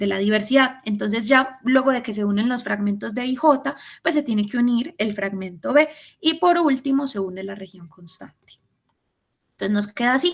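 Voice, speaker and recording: In a high voice, a woman speaks with lively intonation and big swings in loudness. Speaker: student tutor. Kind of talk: lecture. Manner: fast.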